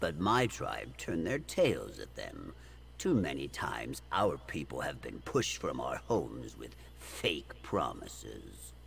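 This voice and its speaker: Over clear background noise, a put-on character voice speaks at a fairly slow pace. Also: man, very deep, low pitch for a man. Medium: video game.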